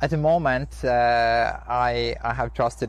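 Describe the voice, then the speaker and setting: A man is speaking. He has an Estonian accent. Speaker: Ironman triathlete. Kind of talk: interview. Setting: outdoors.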